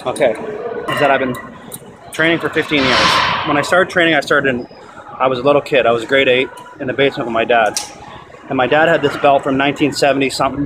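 Through loud background noise, a man talks at a very fast pace with ordinary pitch variation. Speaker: amateur bodybuilder vlogger. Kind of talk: casual vlog chat. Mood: sentimental, reflective. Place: gym. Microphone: phone near.

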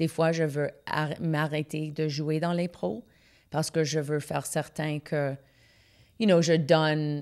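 Against a quiet background, the speaker goes at a very slow pace with fairly even intonation and long, frequent pauses. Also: woman, very deep, low pitch for a woman. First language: English (speaking French). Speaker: comedian; comedian guest. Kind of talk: casual interview chat. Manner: halting, frequent fillers and English code-switching. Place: studio. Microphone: studio mic.

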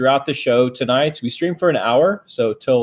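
Someone reads aloud. The reading is plain.

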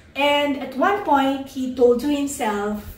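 A woman's voice comes through with audible room echo. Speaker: speaker. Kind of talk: inspirational talk to online audience.

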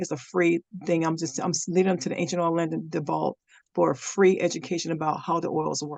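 Speaking at a very fast pace, a woman uses ordinary pitch variation. Her voice sits fairly low in pitch. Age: 50s. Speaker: workshop participant, direct sales partner. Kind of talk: Q&A help session. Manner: halting.

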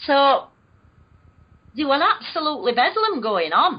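With a northern English accent, a woman speaks at a moderate pace, her pitch swinging very widely. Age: 50s. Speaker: alleged alien abductee. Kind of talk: interview.

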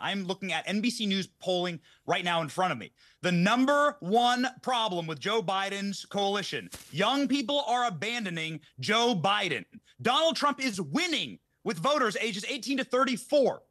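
Raised and projected, a man's bright, sharp voice swings very widely in pitch. He keeps a moderate pace against a quiet background. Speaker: political commentator guest. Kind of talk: commentary. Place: studio. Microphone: studio mic.

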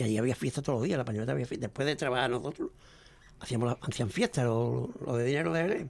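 A man talks at a very fast clip with lively intonation, very even loudness, and vocal fry. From El Puerto de Santa María, Andalusia, Spain; Andalusia, Spain. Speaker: veteran flamenco guitarist; guest. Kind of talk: interview storytelling. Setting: radio studio. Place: studio. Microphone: studio mic.

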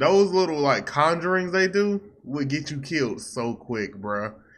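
A man's moderate-paced speech with lively intonation, a bright, sharp tone and hardly any pauses. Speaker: reaction channel host. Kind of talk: casual reaction commentary. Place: home room. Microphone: studio mic.

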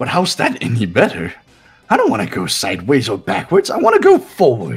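A man talks in a put-on character voice at a medium pitch. His pace is fairly quick, with faint music in the background. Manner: mock-cheerful, playful.

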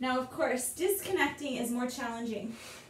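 A woman speaks at a moderate pace with a fairly high pitch. Audible room echo and light background noise surround her voice. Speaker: yoga teacher. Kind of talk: guided exercise instruction. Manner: playful. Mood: light, playful. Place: home room. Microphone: camera far.

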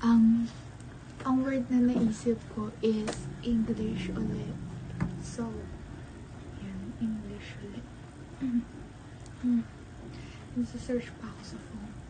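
Over noticeable background noise, a woman speaks at a very slow pace with long, frequent pauses and big swings in loudness. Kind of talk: casual vlog talk to camera. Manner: playful, laughing, game-like.

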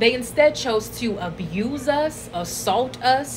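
A woman talks at a very slow pace with ordinary pitch variation. Noticeable background noise runs underneath. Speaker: social media creator. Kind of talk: casual vlog chat. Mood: earnest, reflective. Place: home room. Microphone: phone near.

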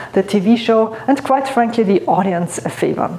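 With lively intonation, a woman talks at a fairly slow pace and a fairly high pitch. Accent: non-native. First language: non-native English. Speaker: keynote speaker and author. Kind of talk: motivational talk to camera. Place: studio. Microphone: lapel.

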